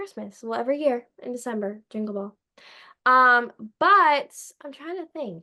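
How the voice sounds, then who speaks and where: With a Philadelphia accent, a woman speaks in a high-pitched, raised and projected voice, bright and sharp in tone, animated, with lively intonation and big swings in loudness. She keeps a moderate pace but leaves long, frequent pauses. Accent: Delco (Philadelphia-area). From Delaware County, Pennsylvania (US). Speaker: podcast host, guest. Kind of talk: casual chat.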